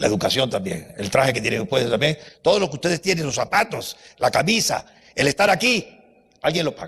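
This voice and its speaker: Animated and very fast, a man with a fairly high pitch and vocal fry swings his pitch very widely. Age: 80s+. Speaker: university professor, lecturer. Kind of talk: lecture.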